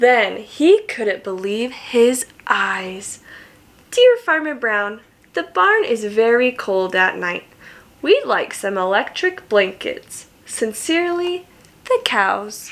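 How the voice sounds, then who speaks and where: A woman puts on a character voice, pitched fairly high. She speaks at a very slow pace. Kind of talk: bedtime story. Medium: read story. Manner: warm, slow, questioning.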